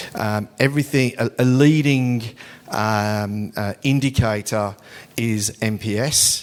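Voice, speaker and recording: A man of medium pitch with fairly even intonation, at a very slow pace. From England. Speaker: business executive. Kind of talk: conference talk. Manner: hesitant, many fillers.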